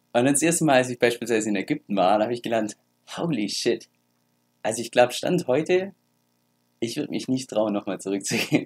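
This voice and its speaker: Talking at a very fast pace with lively intonation, a man leaves long, frequent pauses, the sound dry and close with no echo. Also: medium pitch for a man. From Germany. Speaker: crypto YouTuber. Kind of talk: casual vlog talk.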